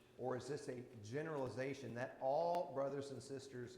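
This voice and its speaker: A man at a moderate pace, with audible room echo. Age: 60s. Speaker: Bible class teacher. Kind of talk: Bible class teaching with discussion. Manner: conversational.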